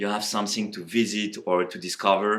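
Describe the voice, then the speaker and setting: A man with a French accent speaks at a fairly low pitch. The recording is very clean, with a silent background. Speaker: tech company co-founder. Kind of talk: casual interview, rapid-fire questions. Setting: office tour. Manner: hesitant, many fillers.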